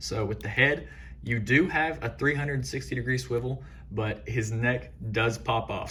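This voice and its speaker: With an excited tone, a man of medium pitch talks at a moderate pace with ordinary pitch variation, and audible room echo surrounds his voice. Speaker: toy figure reviewer. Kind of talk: product review tutorial. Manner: hesitant fillers; shaky, excited voice.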